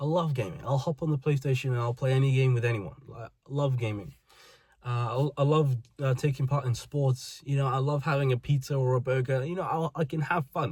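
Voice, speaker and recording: Speaking with a British accent, a man has a medium pitch and a somewhat breathy sound. His intonation stays fairly even. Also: fairly quick pace. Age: 20s. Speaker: vlogger. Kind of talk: personal monologue.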